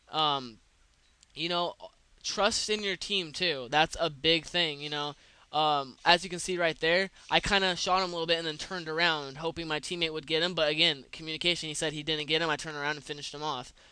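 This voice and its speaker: A man speaks with a bright, sharp tone at fairly high pitch and fairly even intonation. The recording is very clean, with a silent background. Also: fairly quick pace. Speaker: gaming commentator. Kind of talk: gameplay commentary. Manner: stuttering, filler-heavy; casual.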